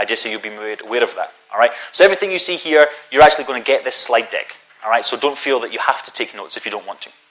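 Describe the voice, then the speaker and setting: Talking at a very fast pace with a Scottish accent, a man uses a fairly high pitch, lively intonation and big swings in loudness. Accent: Scottish, noticeable. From Scotland. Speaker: conference speaker on databases. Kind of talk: technical conference talk.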